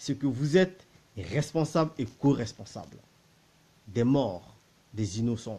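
Here a man speaks at a very slow pace, with long, frequent pauses and very wide pitch swings. His fairly high voice is somewhat breathy, with a dark, mellow tone. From Central African Republic. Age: 30s. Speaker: political commentator. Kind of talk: political monologue. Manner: animated; repetitive, stammering. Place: home room. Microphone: phone near.

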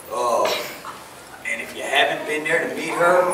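The voice is a man's. The clip carries noticeable background noise along with audible room echo. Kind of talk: testimony to congregation. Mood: grateful, heartfelt. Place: church.

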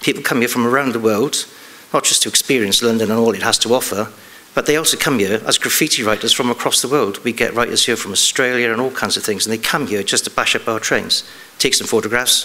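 A man with an English accent at a very fast pace. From England. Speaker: police detective. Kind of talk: conference talk. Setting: stage with audience. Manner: halting. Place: stage.

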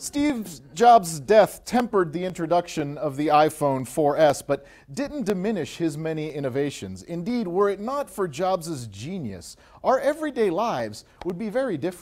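The man's pitch swings very widely as he speaks at a medium tempo. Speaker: mock news anchor. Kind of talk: comedic news commentary. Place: home room.

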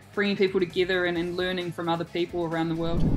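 A woman's monotone, flat delivery over faint background music. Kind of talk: interview answer. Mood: warm, smiling. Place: home room. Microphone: video call.

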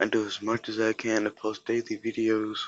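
A quiet, fairly low-pitched man at a fairly slow pace. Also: dry sound with no echo. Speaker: gaming youtuber. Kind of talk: gameplay commentary. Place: home room. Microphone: phone near.

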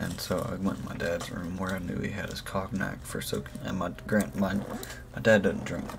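A man's very deep, low-pitched voice over noticeable background noise. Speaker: streamer, vlogger. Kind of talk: casual vlog chat. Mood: relaxed, joking. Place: home room.

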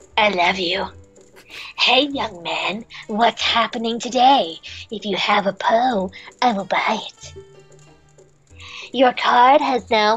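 Using a put-on character voice at a fairly high pitch, a woman speaks at a fairly slow pace with long, frequent pauses as faint music plays in the background. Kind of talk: comic overacting. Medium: game stream. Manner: exaggerated, goofy.

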